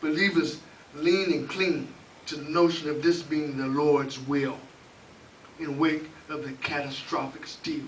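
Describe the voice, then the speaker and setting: In an American accent, the speaker talks at a fairly slow pace with fairly even intonation, amid audible room echo and noticeable background noise. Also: man. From Oklahoma, Oklahoma City. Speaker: open mic host and spoken word poet. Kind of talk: spoken word poetry performance; open mic hosting.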